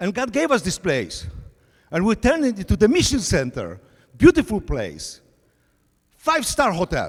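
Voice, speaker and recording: A man with a Polish accent speaks at a moderate pace. His speech has long, frequent pauses. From Poland. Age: 60s. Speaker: pastor. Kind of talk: sermon.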